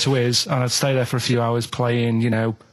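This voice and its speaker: A man's voice over noticeable background noise. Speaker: radio show regular. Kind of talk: radio show banter, telling anecdotes.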